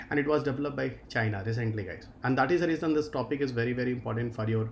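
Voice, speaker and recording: A man's voice at a very fast pace, with ordinary pitch variation over light background noise. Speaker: exam-prep teacher. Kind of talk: lecture. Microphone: webcam.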